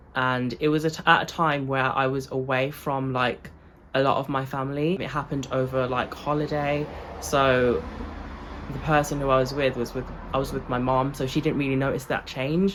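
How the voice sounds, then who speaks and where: A woman with a British accent speaks in a very deep, low pitch with monotone, flat intonation. Her pace is moderate, and there is noticeable background noise. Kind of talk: casual vlog talk. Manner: casual, filler-heavy.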